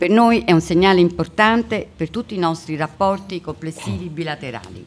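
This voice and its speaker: Noticeable background noise sits behind this woman's voice. She talks at a fairly quick pace with ordinary pitch variation. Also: fairly low pitch for a woman. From Italy. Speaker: diplomat. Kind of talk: welcome speech. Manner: formal.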